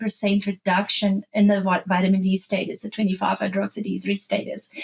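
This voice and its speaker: A somewhat breathy woman at medium pitch, talking at a moderate pace. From South Africa. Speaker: animal nutritionist. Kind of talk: podcast interview.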